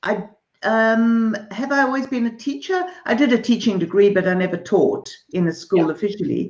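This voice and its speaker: Against a quiet background with audible room echo, a woman speaks at a moderate pace with lively intonation. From Zimbabwe / South Africa. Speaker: artist, art teacher and author. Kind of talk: interview. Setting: artist's studio, streamed live. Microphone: video call.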